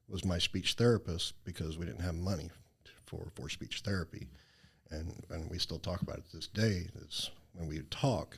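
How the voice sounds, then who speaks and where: A man speaks with a Southern US accent in a very deep, low pitch. His voice is somewhat breathy, with ordinary pitch variation. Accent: Southern drawl. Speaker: charity founder. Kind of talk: interview.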